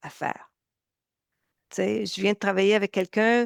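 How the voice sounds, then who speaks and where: A woman speaks in a Canadian French accent, with a dry, close sound, no echo and a very clean, silent background. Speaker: nutrition coach. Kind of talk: interview.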